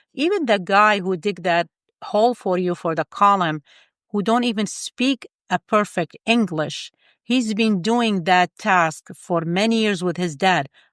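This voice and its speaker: Recorded very cleanly against a silent background, with a dry, close sound and no echo, a woman with a non-native accent speaks at a fairly slow pace, medium pitch and ordinary pitch variation. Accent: foreign. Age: 50s. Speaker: engineer and life coach. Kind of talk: interview conversation. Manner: animated.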